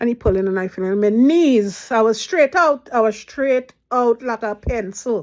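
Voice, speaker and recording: In a Trinidadian accent, a woman talks at a fairly slow pace with hardly any pauses. Her pitch is fairly high and her intonation lively. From Trinidad and Tobago. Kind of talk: casual storytelling to camera.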